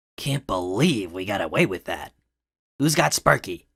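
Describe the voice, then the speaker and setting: A raspy, cartoonish character voice from a man at a fairly low pitch, in a very clean recording with a silent background. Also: moderate pace. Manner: dry, sarcastic.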